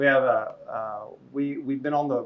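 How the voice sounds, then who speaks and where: This man has a fairly high pitch and speaks with an American accent. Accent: southern US hillbilly. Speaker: film festival director. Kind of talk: panel Q&A. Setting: live event with audience. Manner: casual, conversational.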